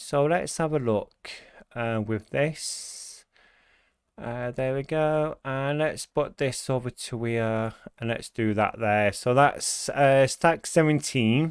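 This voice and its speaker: Someone with a British accent speaks at a very slow pace. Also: man, medium pitch for a man, ordinary pitch variation. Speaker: gaming YouTuber. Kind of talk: gameplay commentary. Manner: hesitant with many fillers.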